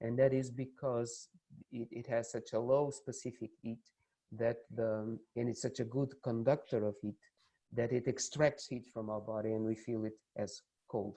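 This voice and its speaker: A dark, mellow, monotone voice with a Portuguese accent at a moderate pace, flat in intonation. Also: man, medium pitch for a man. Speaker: university lecturer. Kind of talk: lecture. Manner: halting.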